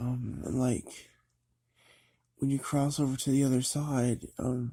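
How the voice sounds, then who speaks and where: The voice has a dark, mellow tone, somewhat breathy, with fairly even intonation. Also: man. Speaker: vlogger on occult beliefs. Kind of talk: casual monologue. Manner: halting, many fillers and restarts.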